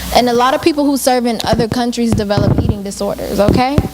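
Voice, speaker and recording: A soft-spoken woman with an American accent talks at a very fast pace in a high-pitched, animated tone, with noticeable background noise behind her. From US. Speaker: alumna speaker, returned volunteer. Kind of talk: Q&A talk to students.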